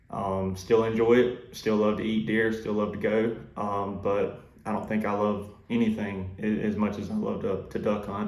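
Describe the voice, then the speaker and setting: Over audible room echo, a man with a fairly low pitch speaks in a monotone, flat intonation. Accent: Southern US. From US South, South Georgia. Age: 20s. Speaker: duck hunting YouTuber and waterfowl consultant. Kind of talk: casual self-introduction vlog. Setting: office. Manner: hesitant, many fillers.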